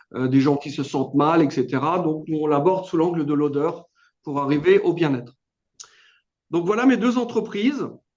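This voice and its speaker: A man with a slight Alsatian accent speaks at a moderate pace in a fairly high voice, with lively intonation and long, frequent pauses. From Alsace, France. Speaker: business owner. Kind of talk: testimony. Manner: hesitant, many fillers.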